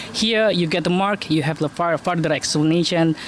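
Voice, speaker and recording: A high-pitched man speaks with an Indonesian accent and fairly even intonation. Noticeable background noise runs beneath him. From Indonesia, Malang, East Java. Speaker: university lecturer and student in the UK. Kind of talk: street interview. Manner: halting.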